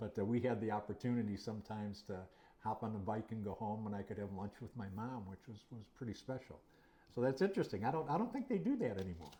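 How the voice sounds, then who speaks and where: A man talks at a very fast pace with a fairly low pitch. His tone is dark and mellow, and somewhat breathy. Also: ordinary pitch variation. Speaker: history channel interviewer, former student. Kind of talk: interview. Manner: hesitant, many fillers.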